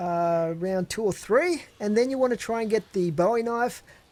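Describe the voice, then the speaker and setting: The speaker has a Tasmanian accent. The pace is moderate. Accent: Australian, Tasmanian. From Australia, Tasmania. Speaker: gaming YouTuber. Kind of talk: Q&A video answering viewer questions. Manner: casual, hesitant with fillers.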